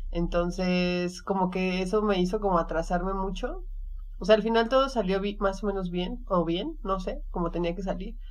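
A woman speaks at a medium pitch and a moderate pace. Her pitch varies in an ordinary way, and there is audible room echo. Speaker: podcast co-host. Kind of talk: casual chat.

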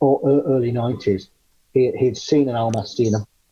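Speaking with an English accent, a man uses a medium pitch, ordinary pitch variation and a fairly slow pace, sounding somewhat breathy. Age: 40s. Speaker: cryptozoologist. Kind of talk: interview.

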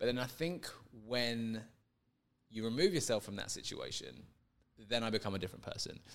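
In a London accent, a man with a medium pitch talks at a fairly quick pace with ordinary pitch variation and long, frequent pauses. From England, London. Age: 30s. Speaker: guest. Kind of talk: casual interview.

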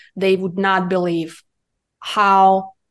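A woman with a Russian accent speaks at a medium pitch and a very slow pace. The background is quiet. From Russia (Siberia). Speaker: cannabis business consultant. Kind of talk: podcast interview.

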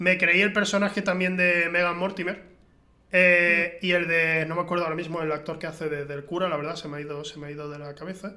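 Speaking at a fairly quick pace, a man with a high pitch keeps a monotone, flat intonation while his loudness swings widely. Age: 20s. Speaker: film podcast host. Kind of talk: casual chat. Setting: home recording with camera.

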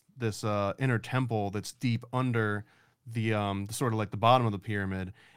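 A man with a plain, everyday voice talks fairly quickly at medium pitch in a very clean recording with a silent background. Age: 30s. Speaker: comic book publisher. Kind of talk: casual chat.

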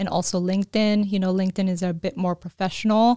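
Heard in a dry, close sound with no echo, a woman has an unremarkable speaking voice of medium pitch and fairly even intonation. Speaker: business relationship manager and chamber of commerce president-elect. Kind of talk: casual interview chat.

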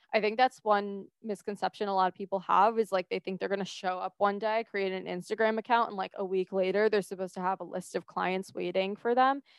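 Woman at medium pitch, fairly quick and with hardly any pauses, in a monotone, flat intonation. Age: 20s. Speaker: podcast host and mindset coach. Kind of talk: solo podcast monologue. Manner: casual, conversational.

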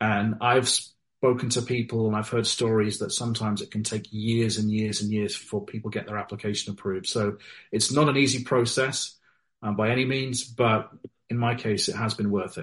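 A man's medium-pitched, somewhat breathy voice with a British accent, monotone and flat, at a moderate pace over a quiet background. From Wales and UK, military family. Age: 40s. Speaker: novelist. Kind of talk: interview.

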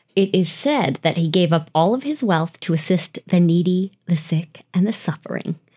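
An unremarkable speaking voice moves at a fairly slow pace with ordinary pitch variation. The recording is very clean with a silent background. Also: woman. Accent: American. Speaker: podcast host. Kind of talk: ghost story telling. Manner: hushed, slow, suspenseful storytelling build-up.

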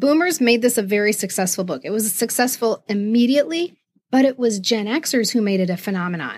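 A woman's fairly high, lively voice at a fairly quick pace, a normal speaking voice. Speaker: podcast host. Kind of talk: casual chat.

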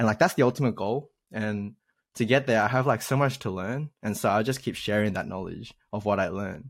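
On a very clean recording with a silent background, the speech moves at a fairly quick pace. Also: man, fairly low pitch for a man, ordinary pitch variation. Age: 20s. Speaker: YouTube coding tutor. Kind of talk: casual interview chat. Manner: animated.

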